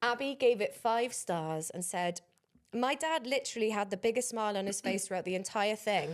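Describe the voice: A plain read-aloud delivery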